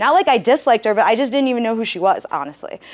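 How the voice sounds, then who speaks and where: A loud, animated woman with a high voice, talking very fast over noticeable background noise. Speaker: university career advisor. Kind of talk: interactive workshop talk.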